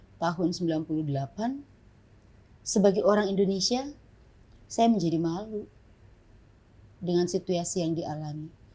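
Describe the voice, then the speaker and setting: A woman speaks at a moderate pace with a dark, mellow, somewhat breathy tone. Her speech has long, frequent pauses. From Papua, Jayapura (born in Ambon). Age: 50s. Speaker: pastor and human rights activist. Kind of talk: interview. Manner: halting.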